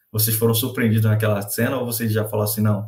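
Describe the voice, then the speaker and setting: A man speaks at a fairly low pitch, somewhat breathy. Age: 20s. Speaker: podcast co-host. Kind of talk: casual chat.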